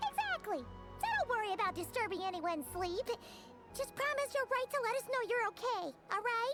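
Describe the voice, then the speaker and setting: A put-on character voice speaks at an extremely high pitch and a moderate pace. Clear music plays in the background. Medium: video game. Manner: bubbly, casual.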